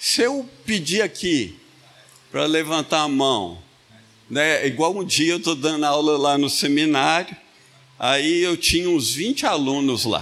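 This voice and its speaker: This man talks at a very slow pace. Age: 70s. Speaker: pastor. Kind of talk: sermon. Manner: animated.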